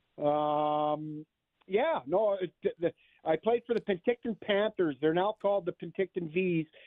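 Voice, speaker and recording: With a Canadian accent, a man speaks in a high pitch. His pitch variation is ordinary. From western Canada (Okanagan, British Columbia). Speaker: university hockey coach. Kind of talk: radio interview.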